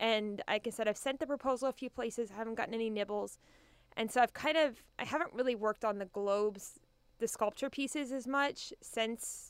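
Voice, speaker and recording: A woman with an ordinary speaking voice talks in an American accent. Her pitch is fairly high, her pace fairly quick, and her pitch variation ordinary. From Kansas. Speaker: art teacher and artist. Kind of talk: radio interview.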